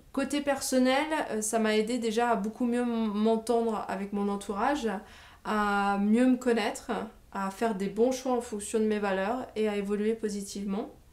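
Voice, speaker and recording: Speaking with fairly even intonation at a moderate pace, a woman has a fairly high pitch. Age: 20s. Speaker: training graduate and business coach. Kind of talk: testimony. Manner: hesitant, many filler sounds.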